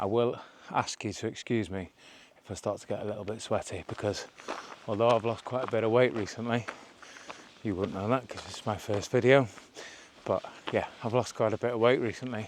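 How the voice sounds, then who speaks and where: A man mumbling at a fairly quick pace, with long, frequent pauses, fairly even intonation and noticeable background noise. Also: medium pitch for a man. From North Wales. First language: Welsh. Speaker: hiking vlogger. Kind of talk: casual vlog narration. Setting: outdoors. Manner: rambling, casual.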